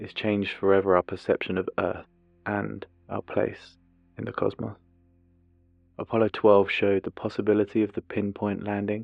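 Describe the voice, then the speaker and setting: Moderate-paced talk from a man with a fairly low pitch, music playing behind. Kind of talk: ASMR documentary narration. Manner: soft-spoken, not whispered.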